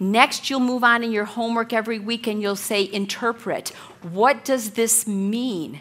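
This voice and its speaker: Over noticeable background noise, a woman speaks at a moderate pace in a fairly high pitch with fairly even intonation. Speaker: Bible study teacher. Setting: room with women at tables, church study. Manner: loud.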